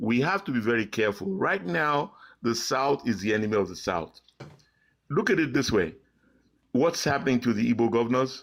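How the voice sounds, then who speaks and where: A man speaks at a fairly quick pace with very wide pitch swings and long, frequent pauses. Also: medium pitch for a man. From Nigeria. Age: 70s. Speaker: caller. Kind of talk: call-in political commentary.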